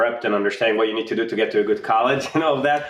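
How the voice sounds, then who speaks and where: A man speaks with an Israeli accent. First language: Hebrew. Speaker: insurtech startup founder. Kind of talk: casual interview.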